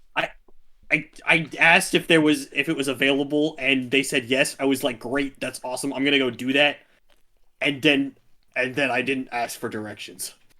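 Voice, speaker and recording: In a raspy, put-on character voice, someone speaks at a moderate pace with fairly even intonation. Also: man, medium pitch for a man. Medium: actual play. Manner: rambling, flustered.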